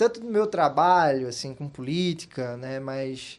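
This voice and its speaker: A man with a Pernambuco accent talks at a fairly slow pace. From Brazil, Pernambuco interior (Bezerros). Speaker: political strategist and scientist. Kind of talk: interview. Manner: many fillers, hesitant.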